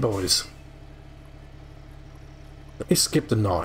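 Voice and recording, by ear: A man's lively intonation amid audible room echo.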